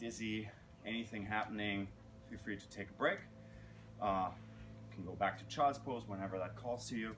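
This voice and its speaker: With audible room echo and noticeable background noise, the speaker talks at a moderate pace with fairly even intonation and long, frequent pauses. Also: man, fairly low pitch for a man. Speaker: yoga teacher. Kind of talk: guided yoga class instruction.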